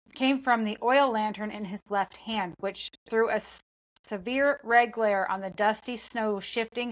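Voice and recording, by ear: In a quiet setting, the text is read aloud in a natural voice.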